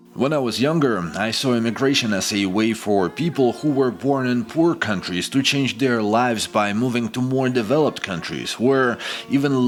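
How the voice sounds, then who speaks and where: A man talks at a moderate pace and medium pitch with a Ukrainian accent. His pitch varies in an ordinary way over noticeable background noise. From Ukraine. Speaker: expat vlogger. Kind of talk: scripted narration.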